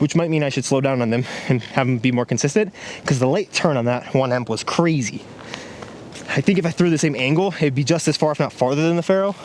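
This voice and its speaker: Noticeable background noise surrounds a man speaking at a very fast pace. His fairly high pitch moves with ordinary variation. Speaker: disc golf YouTuber. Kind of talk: casual on-course commentary. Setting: outdoors on a disc golf course. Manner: fast-talking.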